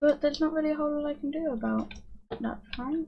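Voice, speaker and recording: This woman's voice is high in pitch. She speaks quietly. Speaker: gaming streamer. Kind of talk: casual gameplay commentary. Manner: calm. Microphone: may be cutting out quiet speech.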